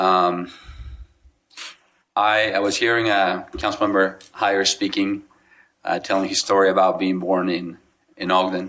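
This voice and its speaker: The speech is fairly slow in a Spanish accent, with long, frequent pauses. The tone is bright and sharp, the intonation monotone and flat, and the loudness very even. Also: man, very deep, low pitch for a man. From Mexico (Guadalajara). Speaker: city council member. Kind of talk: ceremonial remarks. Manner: unscripted, halting with fillers.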